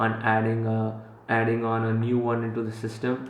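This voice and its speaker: A man's medium-pitched voice with a Gujarati accent, amid noticeable background noise and audible room echo. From Central Africa, Indian Gujarati family. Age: 20s. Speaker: entrepreneur vlogger. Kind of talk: vlog talk to camera. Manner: casual with many fillers.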